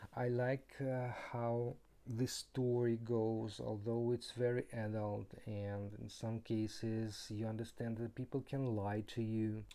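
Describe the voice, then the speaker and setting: Speaking very slowly with a non-native accent, a man uses a medium pitch, a dark, mellow tone and monotone, flat intonation. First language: not English. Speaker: board game reviewer. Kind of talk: game review. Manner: halting.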